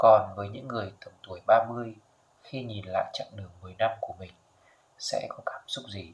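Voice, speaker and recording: The speaker is a man whose volume rises and falls sharply. He keeps a moderate pace. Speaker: podcast host. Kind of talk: reflective solo podcast monologue.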